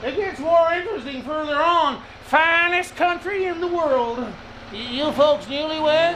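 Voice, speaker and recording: A put-on character voice drawls at a high pitch and a moderate pace over clear background noise. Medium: audio drama. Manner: folksy drawl, rustic grammar.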